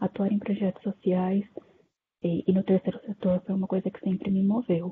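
With monotone, flat intonation, a woman's medium-pitched voice moves at a moderate pace. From interior of São Paulo, Brazil. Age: 20s. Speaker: discussion moderator. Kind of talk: casual panel discussion. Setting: online video call.

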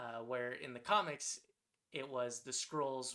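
A man with a Californian accent speaks at medium pitch in a bright, sharp tone. His intonation is monotone and flat. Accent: General American (Californian). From Southern California. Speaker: podcast co-host. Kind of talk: casual chat.

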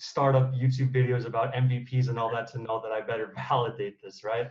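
This man has a medium pitch and a somewhat breathy voice with an American accent. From United States. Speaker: startup founder. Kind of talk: interview.

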